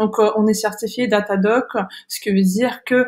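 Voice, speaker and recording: With a Kazakh accent, a woman speaks at a moderate pace with a medium pitch. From Kazakhstan. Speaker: online school founder and career coach. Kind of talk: webinar presentation. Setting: online webinar. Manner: halting, many hesitations.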